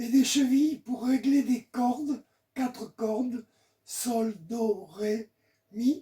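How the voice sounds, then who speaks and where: An extremely high-pitched man speaks with a dark, mellow tone and fairly even intonation. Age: 80s+. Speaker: folk violinist. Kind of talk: informal presentation. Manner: halting.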